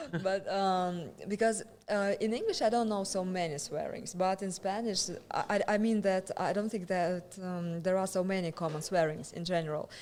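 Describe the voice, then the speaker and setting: A woman speaks with a Russian accent. Her pace is moderate and her intonation fairly even. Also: medium pitch for a woman. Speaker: stand-up comedian. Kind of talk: casual chat. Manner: halting.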